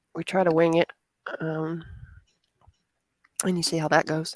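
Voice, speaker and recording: A woman with a slight Southern US accent speaks at a fairly low pitch. Her moderate pace comes through a dry, close sound with no echo. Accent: slight Southern twang. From US South. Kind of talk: casual chat.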